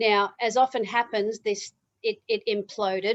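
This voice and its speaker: A woman speaks in an Australian accent with monotone, flat intonation. The sound is dry and close, with no echo. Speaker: motivational speaker. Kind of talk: interview.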